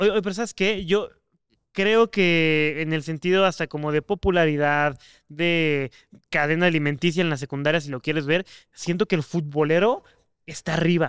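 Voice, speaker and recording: The pitch moves with ordinary variation over a quiet background. The sound is dry, with no echo. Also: man, fairly high pitch for a man, moderate pace. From Mexico. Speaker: podcast co-host. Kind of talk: casual chat. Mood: relaxed, joking. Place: studio.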